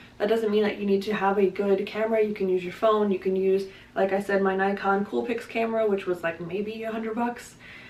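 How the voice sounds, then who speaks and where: Noticeable background noise sits under a woman talking at a fairly quick pace, her medium-pitched voice fairly even in intonation. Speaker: booktuber. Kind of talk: casual vlog talk to camera. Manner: fast.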